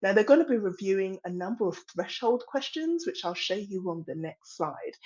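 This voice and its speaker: The speaker has an English accent and very wide pitch swings. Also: woman, medium pitch for a woman, moderate pace. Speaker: industry policy presenter. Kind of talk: webinar presentation.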